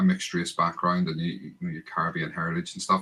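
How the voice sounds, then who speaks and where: Here a man speaks with a Northern Irish accent. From Northern Ireland, Bangor near Belfast. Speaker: football podcast host. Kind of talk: casual chat.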